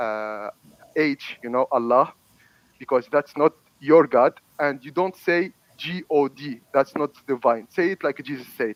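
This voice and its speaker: A man with an Arabic accent at a fairly slow pace, ordinary pitch variation, long, frequent pauses and big swings in loudness, in a dry, close sound with no echo. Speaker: debater. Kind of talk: heated debate. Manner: halting.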